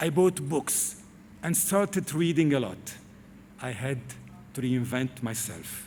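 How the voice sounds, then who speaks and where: Somewhat breathy, a man speaks at a fairly slow pace with a fairly high pitch. He takes long, frequent pauses. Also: lively intonation. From Lebanon. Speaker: TV presenter. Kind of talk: commencement speech. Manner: formal.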